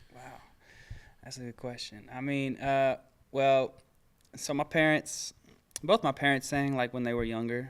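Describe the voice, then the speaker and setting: A man with a Texas accent at medium pitch, fairly even intonation and a moderate pace, long, frequent pauses and big swings in loudness, on a very clean recording with a silent background. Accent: Texas twang. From Dallas, Texas. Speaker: R&B singer. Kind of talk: interview. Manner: halting.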